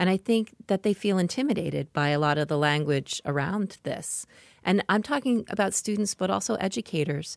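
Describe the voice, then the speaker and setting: Recorded very cleanly against a silent background, the dry, close sound with no echo carries a woman's medium-pitched voice, an unremarkable speaking voice, at a fairly quick pace with very even loudness and lively intonation. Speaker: podcast interviewer. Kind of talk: interview.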